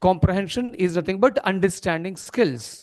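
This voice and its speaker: A man with an Indian accent speaks at a high pitch with ordinary pitch variation. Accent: Indian English, Telugu-Marathi. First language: Telugu. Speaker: corporate trainer. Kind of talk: training seminar. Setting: seminar hall with audience. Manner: interactive, asks audience questions.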